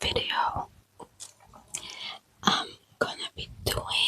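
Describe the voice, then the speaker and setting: A woman whispering at a very slow pace. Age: 20s. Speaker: ASMR creator. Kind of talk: ASMR trigger words. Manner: soft, repetitive, relaxing.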